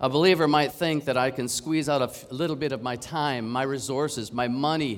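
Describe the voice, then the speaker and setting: A man's unremarkable speaking voice in a Canadian accent, medium in pitch, on a very clean recording with a silent background. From Canada. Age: 50s. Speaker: preacher. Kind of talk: sermon.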